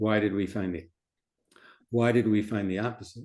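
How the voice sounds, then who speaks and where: A man with a fairly low pitch and a dark, mellow tone speaks at a fairly quick pace. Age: 70s. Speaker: physician speaking at a support group. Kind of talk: talk to a support group. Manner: conversational, rhetorical questions.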